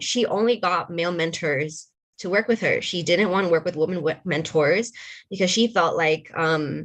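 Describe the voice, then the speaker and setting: With ordinary pitch variation, a woman talks in a plain, everyday voice that sits fairly low in pitch. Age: young. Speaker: panelist on women in tech. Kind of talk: panel discussion.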